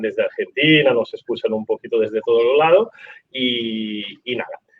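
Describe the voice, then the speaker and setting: There is music in the background. A man speaks in an Italian accent. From Italy. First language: Italian (speaking Spanish). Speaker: rugby podcast host. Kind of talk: live interview.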